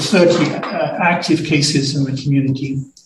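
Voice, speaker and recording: A man's voice with audible room echo. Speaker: acting medical officer of health. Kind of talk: public health briefing to council. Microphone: muffled with echoes.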